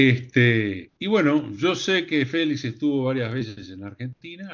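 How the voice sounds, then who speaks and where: The voice moves through very wide pitch swings, and the background stays quiet. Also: man. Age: 70s. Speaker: psychologist and colloquium panelist. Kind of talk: conference talk. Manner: halting, many fillers.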